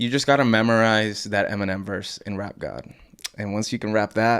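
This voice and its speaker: An ordinary speaking voice at a moderate pace. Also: man, fairly low pitch for a man, fairly even intonation. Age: 20s. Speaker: rapper. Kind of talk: casual chat.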